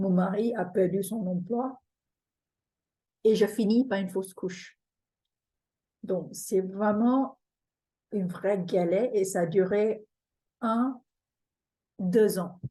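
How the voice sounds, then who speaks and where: A woman's medium-pitched, somewhat breathy voice with a dark, mellow tone and a non-native accent, fairly even in intonation, very slow in pace, with long, frequent pauses. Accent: foreign accent in French. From Singapore. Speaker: feng shui teacher. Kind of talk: webinar presentation. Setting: online webinar.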